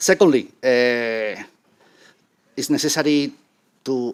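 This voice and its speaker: With a Spanish accent and ordinary pitch variation, the speaker is heard in a very clean recording with a silent background. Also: man. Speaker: conference panelist on Roma inclusion. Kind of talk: conference presentation with slides. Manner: halting.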